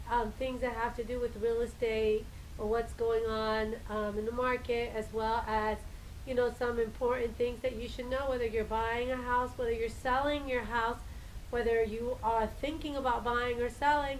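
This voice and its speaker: With audible room echo around her, a woman speaks at a high pitch and moderate pace in a monotone, flat intonation. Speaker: realtor. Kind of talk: live stream talk. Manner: hesitant, many fillers.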